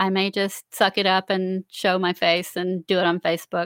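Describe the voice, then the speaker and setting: At a moderate pace, a woman with an American accent speaks, the sound dry and close with no echo. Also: very clean recording, silent background. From Central Florida. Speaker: novelist and podcaster. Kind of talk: live stream Q&A. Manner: casual, hesitant with fillers.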